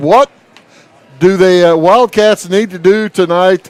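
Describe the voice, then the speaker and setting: Loud and at a fairly slow pace, a man speaks with a high pitch. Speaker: sports play-by-play announcer. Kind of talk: live sports commentary.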